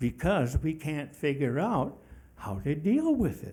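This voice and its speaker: A man's fairly high, somewhat breathy voice, dark and mellow in tone, with lively intonation at a fairly slow pace. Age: 80s+. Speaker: public commenter at city meeting. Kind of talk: public comment at planning meeting. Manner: forceful, emphatic.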